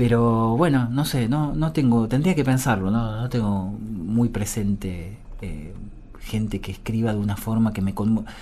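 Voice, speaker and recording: Room echo is audible around a man speaking fairly slowly. His voice is fairly low with a dark, mellow tone. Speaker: musician and bandleader. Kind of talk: interview. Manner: halting, many fillers and repetitions.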